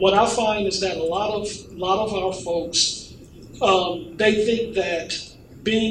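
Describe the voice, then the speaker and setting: Noticeable background noise sits behind a voice with monotone, flat intonation. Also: man. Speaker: pastor. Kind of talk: panel discussion. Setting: stage with audience.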